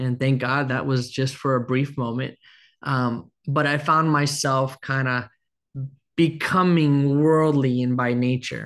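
A man's ordinary speaking voice at medium pitch, fairly even in intonation and fairly slow, over a quiet background. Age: 30s. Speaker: pastor. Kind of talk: sermon.

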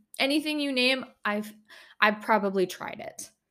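With an Upper Midwest accent, a woman speaks in a bright, sharp tone with lively intonation. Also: very clean recording, silent background. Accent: Upper Midwest American. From northern Minnesota. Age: 20s. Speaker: podcast host. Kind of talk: casual monologue. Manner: giggly, laughs often.

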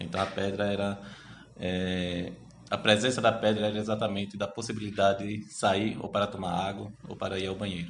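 Audible room echo around flat, monotone intonation at a moderate speed. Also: man, fairly low pitch for a man. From Brazil, Sergipe (Itabaiana, rural). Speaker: history researcher. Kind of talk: interview.

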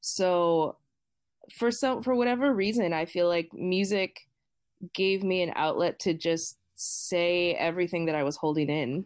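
A woman with an unremarkable speaking voice speaks at a fairly low pitch and a fairly slow pace, with ordinary pitch variation. Her loudness stays very even, and the recording is very clean with a silent background. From Boston, Massachusetts, US. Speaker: singer-songwriter and music teacher. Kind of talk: casual interview chat.

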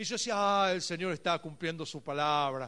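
A man speaks at a moderate pace in a bright, sharp tone. The background is quiet. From Argentina, Buenos Aires area. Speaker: pastor. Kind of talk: sermon.

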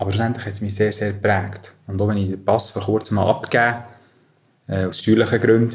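A man speaks fairly quickly with a Bernese accent. His pitch is fairly low and his intonation monotone and flat. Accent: Bernese Swiss German. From Switzerland, Bern area. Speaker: business manager. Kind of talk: interview.

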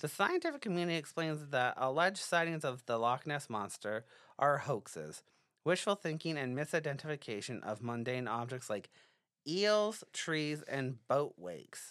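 Here a man with a normal speaking voice talks at a moderate pace in a fairly high pitch with lively intonation. The recording is very clean, with a silent background. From British Columbia, Canada. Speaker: podcast co-host. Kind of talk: casual chat; reading aloud.

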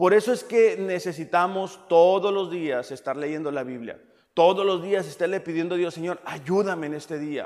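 Delivered at a moderate pace with ordinary pitch variation, the recording is very clean with a silent background. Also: man, high pitch for a man. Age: 30s. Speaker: pastor. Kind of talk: sermon.

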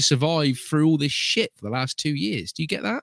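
On a very clean recording with a silent background, a man speaks fairly quickly. His voice sounds dry and close, with no echo. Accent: British. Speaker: podcast host. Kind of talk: casual chat. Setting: live stream.

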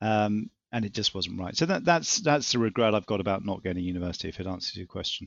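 A man with an English accent rattles along at a very fast pace with hardly any pauses, his pitch fairly low. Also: lively intonation. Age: 50s. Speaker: property business executive. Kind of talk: interview. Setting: remote recording during lockdown.

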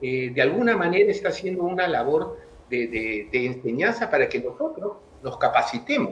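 Over noticeable background noise, a man speaks at a moderate pace in a high pitch with very wide pitch swings. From Peru. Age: 60s. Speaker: tennis coach. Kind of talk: interview.

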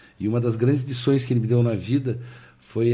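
In a room with audible echo, a man with a medium-pitched, dark, mellow, somewhat breathy voice speaks at a moderate pace with fairly even intonation. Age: 50s. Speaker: car and motorcycle dealer. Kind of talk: casual interview chat.

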